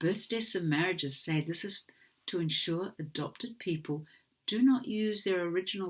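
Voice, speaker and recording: A woman with a New Zealand accent on a very clean recording with a silent background. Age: 60s. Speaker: adoptee advocate. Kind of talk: formal testimony read from a prepared statement. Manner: formal.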